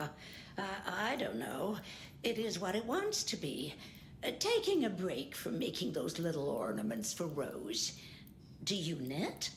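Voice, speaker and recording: A woman puts on a character voice at a fairly low pitch, speaking at a fairly slow pace over clear background noise. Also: very even loudness. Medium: video game.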